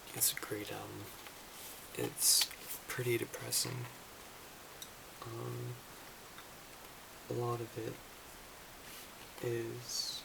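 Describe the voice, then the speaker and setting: The voice is soft-spoken, moving at a very slow pace with long, frequent pauses over noticeable background noise. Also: man. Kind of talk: ASMR roleplay, music store clerk. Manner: hesitant, some stumbling.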